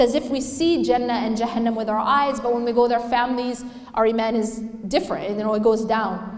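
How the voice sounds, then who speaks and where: A woman speaks in a high voice with ordinary pitch variation. Noticeable background noise is present. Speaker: Islamic lecturer. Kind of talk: Islamic lecture / reminder. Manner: conversational, rhetorical questions to audience.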